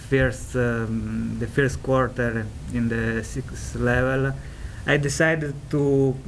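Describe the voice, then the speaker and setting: A man with a strong Italian accent, plus audible room echo and noticeable background noise. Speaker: ESL student panelist. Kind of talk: panel talk. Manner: halting, many fillers.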